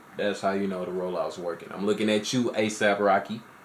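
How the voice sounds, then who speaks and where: Noticeable background noise is present. The talking goes along at a fairly quick pace. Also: man. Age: 20s. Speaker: music reaction youtuber. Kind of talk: casual reaction commentary. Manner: casual, filler-heavy.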